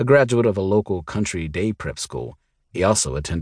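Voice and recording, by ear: A quiet background beneath reading aloud in a natural voice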